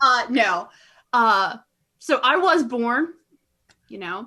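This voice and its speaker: On a very clean recording with a silent background, a woman with a bright, sharp tone speaks very slowly with ordinary pitch variation. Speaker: fellow podcaster, guest. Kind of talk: casual chat.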